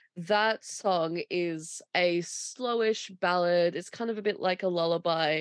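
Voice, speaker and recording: With an Australian accent, a woman speaks at a fairly slow pace and ordinary pitch variation. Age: 20s. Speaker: podcast co-host. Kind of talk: casual chat. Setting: remote recording.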